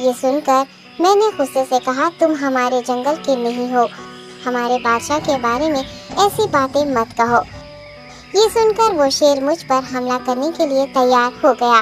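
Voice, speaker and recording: Over clear background music, a cartoonish character voice that sounds female speaks at a moderate pace. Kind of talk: children's cartoon voice acting. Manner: polite, deferential.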